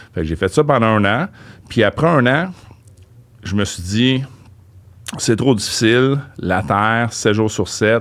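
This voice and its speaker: A man of medium pitch talks at a very slow pace with long, frequent pauses and lively intonation, on a very clean recording with a silent background. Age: 50s. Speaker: real estate investor. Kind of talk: interview.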